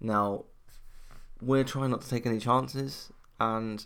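This man speaks with a British accent at a medium pitch. The recording is very clean, with a silent background. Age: 20s. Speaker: podcast host. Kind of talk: personal solo monologue. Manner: halting.

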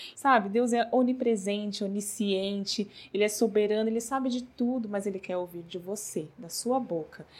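At a moderate pace and with hardly any pauses, a woman talks in an ordinary speaking voice at medium pitch with ordinary pitch variation. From Brazil, São Paulo. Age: 30s. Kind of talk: devotional talk. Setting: not a proper recording space.

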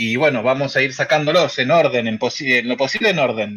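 An unremarkable speaking voice from a man, medium in pitch, with ordinary pitch variation. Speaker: podcast host. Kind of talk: live stream chat with callers. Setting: live video stream.

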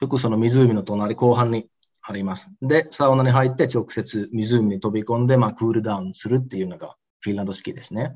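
Using an unremarkable speaking voice, a man talks at a fairly quick pace in a medium pitch with fairly even intonation. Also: big swings in loudness. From Osaka, Japan. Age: 30s. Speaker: entrepreneur. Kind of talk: interview.

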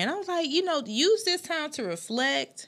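In an American accent, a woman with a normal speaking voice talks at a moderate pace with ordinary pitch variation. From South Carolina, Anderson. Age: 30s. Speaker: podcast host. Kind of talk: casual chat. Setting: studio.

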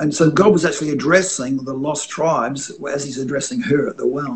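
With an Australian accent, a man talks in a somewhat breathy voice at a fairly high pitch, with ordinary pitch variation. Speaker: itinerant prophetic minister and author. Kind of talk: interview about faith and dream interpretation. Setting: video call from home, construction noise outside.

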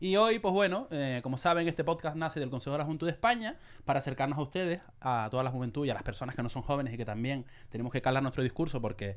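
In a very clean recording with a silent background, a man with a Canarian accent talks at a very fast pace, his tone animated and his intonation lively. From Canary Islands. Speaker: podcast host. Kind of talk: casual chat.

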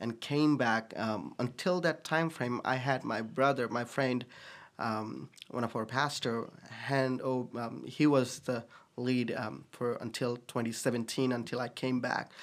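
A man of medium pitch speaks at a fairly slow pace in a Nepali accent, with ordinary pitch variation, in a very clean recording over a silent background. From Bhutan/Nepal. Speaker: pastor. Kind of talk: casual interview chat.

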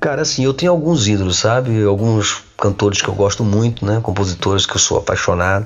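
A man's fairly low voice at a fairly quick pace, with hardly any pauses, very even loudness and ordinary pitch variation, over noticeable background noise. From Brazil, Minas Gerais (Coronel Fabriciano). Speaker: singer-songwriter. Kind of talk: casual interview chat.

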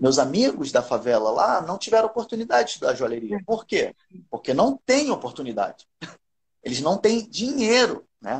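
Very wide pitch swings at a moderate pace. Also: man, high pitch for a man. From Rio de Janeiro, Brazil. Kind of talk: casual live-stream interview.

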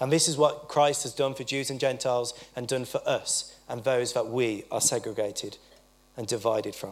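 A man with a plain, everyday voice talks at a moderate pace, at medium pitch, with fairly even intonation. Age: 20s. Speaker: preacher. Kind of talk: sermon. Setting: church.

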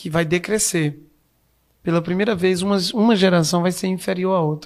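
The man's voice sits high in pitch and keeps a fairly even intonation. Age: 30s. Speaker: emotional intelligence coach. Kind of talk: interview.

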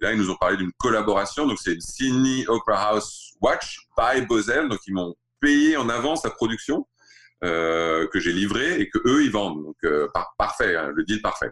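This man talks fairly slowly on a very clean recording with a silent background. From Saudi Arabia (Riyadh), French-born in Alsace. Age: 40s. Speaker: watch brand founder. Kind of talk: interview. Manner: halting.

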